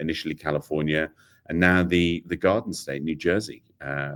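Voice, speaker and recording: At a very deep, low pitch, a man with a British accent talks at a moderate pace with ordinary pitch variation, in a very clean recording with a silent background. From Britain. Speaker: AI technology executive. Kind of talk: interview. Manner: hesitant, many fillers.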